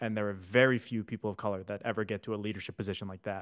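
Against a quiet background, a man with a fairly low pitch and fairly even intonation has a normal speaking voice. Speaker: podcast co-host. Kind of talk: podcast discussion. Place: studio. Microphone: studio mic.

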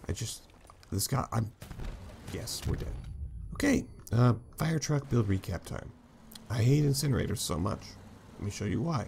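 Lively intonation runs through a man's somewhat breathy, medium-pitched voice. He keeps a moderate pace broken by long, frequent pauses. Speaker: gaming YouTuber. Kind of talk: casual gameplay commentary. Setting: gameplay recording. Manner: animated, excitable.

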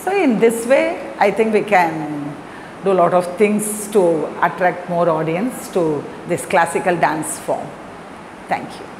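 Noticeable background noise surrounds a woman with a fairly low pitch. She talks at a fairly slow pace with lively intonation. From Chennai, Tamil Nadu, India; Tamil Nadu, India. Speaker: Bharatanatyam dancer and teacher; teacher. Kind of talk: interview talk. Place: empty room.

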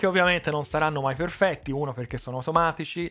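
Faint music plays behind a man with a Tuscan accent, whose fairly high pitch shows ordinary pitch variation. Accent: Tuscan Italian. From Italy, Tuscany. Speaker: electronics repair youtuber; tech YouTuber. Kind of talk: casual vlog address. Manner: unscripted, with fillers and restarts. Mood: friendly, light humor. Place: workshop. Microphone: headset.

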